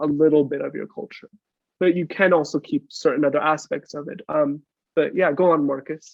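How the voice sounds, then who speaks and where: A man with an American accent and an unremarkable speaking voice, fairly high in pitch, at a moderate pace with fairly even intonation and big swings in loudness. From United States. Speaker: podcast guest. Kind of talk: casual chat.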